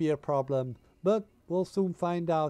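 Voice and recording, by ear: This man has a fairly high pitch and a dark, mellow tone, speaking at a moderate pace.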